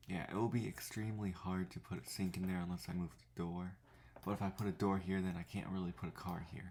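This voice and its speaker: A man speaks quietly at a very fast pace. His pitch is very deep and low, with fairly even intonation. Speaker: gaming YouTuber. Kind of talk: gameplay tutorial. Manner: speaking quietly; casual, thinking aloud.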